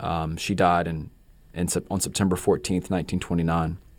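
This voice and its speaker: On a very clean recording with a silent background, a man with a North Carolina accent speaks fairly quickly in a very deep, low pitch and a monotone, flat delivery. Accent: Southern US (North Carolina). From North Carolina (Gastonia). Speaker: novelist. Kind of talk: interview. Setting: radio studio.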